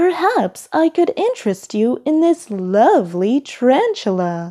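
A woman uses a put-on character voice, high-pitched with a dark, mellow tone and big pitch swings, at a fairly slow pace. The recording is very clean, with a silent background.

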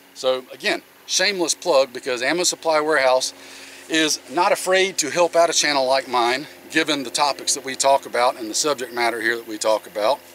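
A man talks at a fairly quick pace with ordinary pitch variation. Light background noise is present, and the sound is dry with no echo. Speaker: channel host. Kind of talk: product review vlog. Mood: relaxed, friendly. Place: open country.

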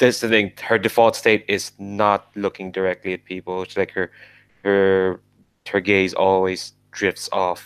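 The recording carries a natural reading voice.

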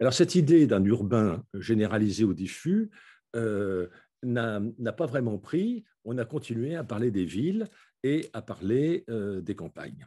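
A man speaks very slowly at a medium pitch with lively intonation. His tone is dark and mellow, over a quiet background. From France, Paris suburbs. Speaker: philosopher and urbanist author. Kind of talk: lecture. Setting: video call.

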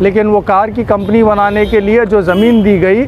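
Amid clear background noise, a man speaks at a moderate pace in a high pitch with little pitch movement.

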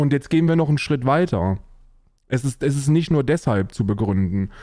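Against a quiet background, a man talks with lively intonation in a dry sound with no echo. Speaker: livestreamer answering chat. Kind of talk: casual stream commentary. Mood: mocking, amused, opinionated. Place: home room.

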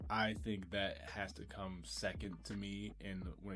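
Over music in the background, a man with a very deep, low voice talks at a fairly slow pace. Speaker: YouTube commentator. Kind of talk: casual talk to camera. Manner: casual, enthusiastic.

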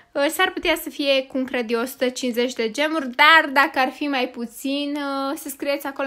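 A woman projects a raised voice with a bright, sharp tone and a high pitch. She speaks at a fairly slow pace with fairly even intonation. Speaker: gaming youtuber. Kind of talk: gaming commentary.

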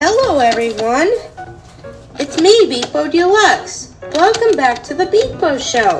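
A cartoonish character voice at a fairly slow pace, with clear music in the background. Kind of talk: comedy skit. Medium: puppet.

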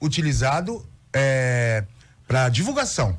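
His intonation is lively as this man talks. There is a somewhat breathy quality to his voice. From São Paulo, Brazil. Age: 50s. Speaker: cultural producer. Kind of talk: radio interview. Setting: radio studio. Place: studio. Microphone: studio mic.

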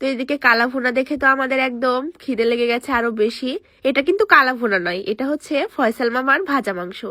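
A woman uses a raised, projected voice. Her pitch is high and her tone bright and sharp. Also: ordinary pitch variation. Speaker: vlogger. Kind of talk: voice-over narration.

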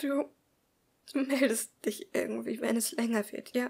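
A woman's put-on character voice, high-pitched and shaky, at a fairly slow pace

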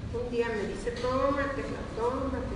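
A woman talks with noticeable background noise and audible room echo around her. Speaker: product testimonial giver. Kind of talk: testimonial interview answer. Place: hall.

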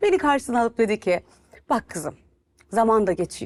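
Against a quiet background, a woman talks fairly quickly at a fairly high pitch with ordinary pitch variation. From Turkey. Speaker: TV and radio presenter; radio presenter. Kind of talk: interview. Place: studio. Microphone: lapel.

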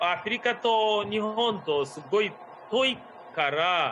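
Very slow speech from a man over light background noise. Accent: non-native. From Uganda. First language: not Japanese (speaking Japanese). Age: 40s. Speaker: tour guide. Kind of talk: online tour guiding. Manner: hesitant with fillers. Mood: friendly, cheerful. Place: home room. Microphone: video call.

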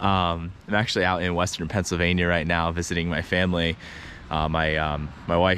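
Speech at a moderate pace comes through with a dry sound, no echo and light background noise. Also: man. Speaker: fishing vlogger. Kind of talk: casual vlog chat. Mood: upbeat, friendly. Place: street. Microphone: phone near.

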